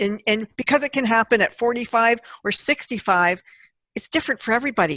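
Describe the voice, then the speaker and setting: Fairly high-pitched woman's voice with a bright, sharp tone and ordinary pitch variation at a fairly quick pace, dry and close with no echo against a quiet background. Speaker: podcast host. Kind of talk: casual interview conversation.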